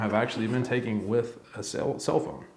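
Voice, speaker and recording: A man speaks with a medium pitch. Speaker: YouTuber reviewing camera gear. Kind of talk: casual tutorial to camera. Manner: halting, with fillers.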